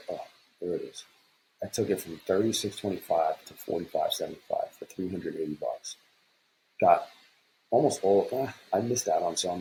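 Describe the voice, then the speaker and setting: A man speaks quietly at a moderate pace. He leaves long, frequent pauses. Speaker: futures day trader. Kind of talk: trading recap screen walkthrough. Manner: quiet, low-voiced; casual, rambling.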